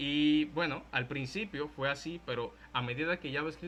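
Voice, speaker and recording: In a Dominican accent, a man speaks at a fairly high pitch with ordinary pitch variation. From Dominican Republic. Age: 20s. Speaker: content creator and programming teacher. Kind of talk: tech talk / lecture. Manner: casual, conversational.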